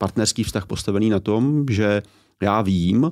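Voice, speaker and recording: Here a man's fairly low voice moves at a moderate pace. A silent background frames this very clean recording. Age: 40s. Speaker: author and education commentator. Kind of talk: interview conversation. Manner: hesitant with fillers.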